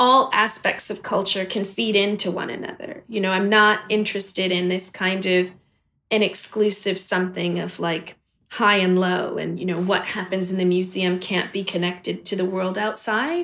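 At a moderate pace, a woman speaks with medium pitch, fairly even intonation and a bright, sharp tone. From US, Washington DC and Los Angeles. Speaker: gallery director and curator.

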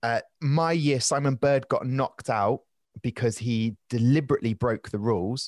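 A man with a southern English accent at medium pitch, very even in loudness, in a very clean, dry, close recording with a silent background and no echo. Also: ordinary pitch variation, moderate pace. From southern England, Southampton. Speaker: stand-up comedian and travel presenter. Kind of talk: casual interview chat.

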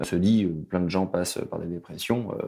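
A man's dark, mellow tone at a moderate pace, on a very clean recording with a silent background. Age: 30s. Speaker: widower sharing his story. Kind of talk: testimony. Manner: halting.

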